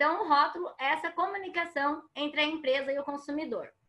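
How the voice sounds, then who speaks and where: A woman's raised, projected voice, high in pitch with a bright, sharp tone, at a moderate pace against a quiet background. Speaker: water quality consultant, speaker. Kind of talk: lecture.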